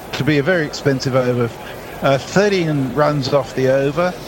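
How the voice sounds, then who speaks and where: Noticeable background noise sits behind a man whose fairly high voice keeps a moderate pace and ordinary pitch variation. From Australia. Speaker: cricket commentator. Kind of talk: live commentary.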